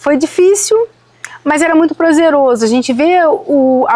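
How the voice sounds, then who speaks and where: A woman speaks with a Rio de Janeiro accent, her tone dark and mellow. Her intonation is lively at a moderate pace, and the sound is dry and close with no echo. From Rio de Janeiro, Brazil. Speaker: citrus farmer. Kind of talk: podcast interview.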